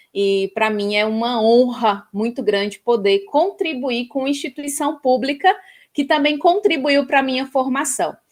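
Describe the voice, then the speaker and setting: In a northeastern Brazilian accent, a woman with a high-pitched voice speaks at a fairly slow pace. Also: lively intonation. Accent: northeastern Brazilian (Ceará). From Ceará, Brazilian Northeast. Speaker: professor. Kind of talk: interview.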